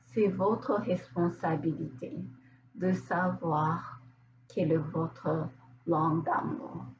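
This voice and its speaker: Speaking at a very slow pace with long, frequent pauses, a woman uses a fairly low pitch and lively intonation. Her loudness stays very even, and there is noticeable background noise. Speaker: therapist. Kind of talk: casual talk to camera.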